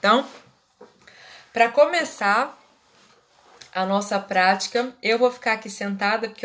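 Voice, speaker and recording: A woman with an ordinary speaking voice talks at a medium pitch and a fairly slow pace, showing ordinary pitch variation. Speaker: Reiki teacher and therapist. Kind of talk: live online class. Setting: livestream.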